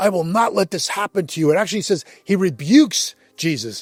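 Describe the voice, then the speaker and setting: A man's high-pitched voice with very wide pitch swings at a moderate pace, dry and close with no echo, over background music. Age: 60s. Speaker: men's ministry speaker. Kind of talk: devotional talk. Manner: casual, conversational.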